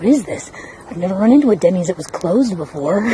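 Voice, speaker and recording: A woman speaks at a very fast pace and medium pitch, with noticeable background noise around her. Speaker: travel vlogger. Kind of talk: casual vlog narration. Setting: outdoors in a garden. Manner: whispering softly.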